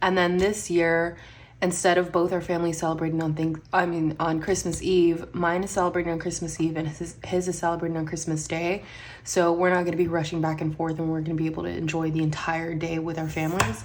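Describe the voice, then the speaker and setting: Audible room echo surrounds a woman with a fairly low pitch. She talks at a very fast pace in a monotone, flat intonation. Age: 30s. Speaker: budgeting vlogger. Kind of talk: casual vlog chat. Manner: counting money aloud, rhythmic.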